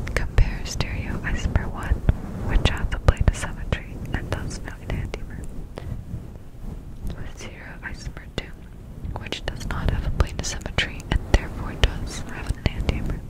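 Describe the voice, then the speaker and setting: A woman whispers at a moderate pace, with long, frequent pauses and big swings in loudness. Background noise is noticeable. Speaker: ASMR creator. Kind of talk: ASMR sleep-aid lecture. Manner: whispered, close-up, soft.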